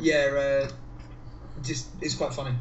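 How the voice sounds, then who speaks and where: In an English accent, a man speaks at a medium pitch. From England. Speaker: guest. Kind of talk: casual chat.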